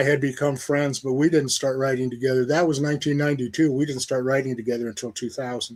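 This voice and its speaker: Here a man with a Midwestern American accent speaks at a fairly high pitch, in a monotone, flat way. The recording is very clean with a silent background. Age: 70s. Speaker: novelist. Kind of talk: interview. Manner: casual, conversational.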